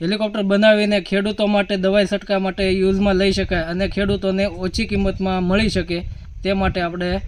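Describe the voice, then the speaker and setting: A man speaks in a high pitch with a monotone, flat intonation. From Saurashtra, Gujarat (Bhavnagar district village). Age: 30s. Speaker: farmer's son and amateur inventor. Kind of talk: news interview.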